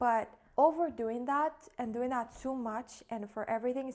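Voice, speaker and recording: With ordinary pitch variation, a woman speaks in a high pitch. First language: not English. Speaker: content creator and podcaster. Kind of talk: casual vlog monologue. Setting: home kitchen. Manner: casual, hesitant.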